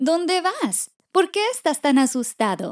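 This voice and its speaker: In a put-on character voice, a woman speaks at an extremely high pitch. Her pitch swings very widely, and her pace is fairly slow. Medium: read story.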